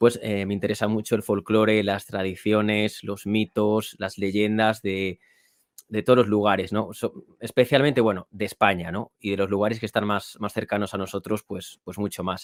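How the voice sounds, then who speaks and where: Here a man speaks at a moderate pace and a fairly low pitch. His intonation is monotone and flat. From Spain, Toro (Zamora, Castile and León). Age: 30s. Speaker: author and podcast host. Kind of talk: interview.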